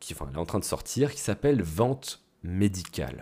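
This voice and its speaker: Vocal fry from a man, with very wide pitch swings. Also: very clean recording, silent background. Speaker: business coach podcaster. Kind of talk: solo podcast monologue. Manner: casual, conversational.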